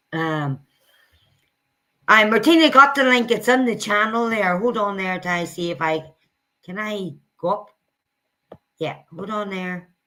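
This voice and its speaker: At a fairly slow pace with long, frequent pauses, a woman talks at a medium pitch in a bright, sharp tone. Her intonation is lively and her loudness swings widely. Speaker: streamer commentating on videos. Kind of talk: casual live stream chat.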